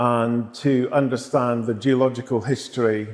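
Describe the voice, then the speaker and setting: In a Scottish accent, a man talks at a fairly slow pace and a medium pitch. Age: 60s. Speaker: geologist and writer. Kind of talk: interview. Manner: hesitant, many fillers.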